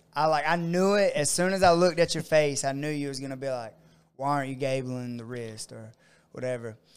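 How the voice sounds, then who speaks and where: This man has an unremarkable speaking voice with a fairly high pitch and ordinary pitch variation. The recording is very clean, with a silent background. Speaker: martial arts coach and gym owner. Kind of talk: casual podcast chat. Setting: studio.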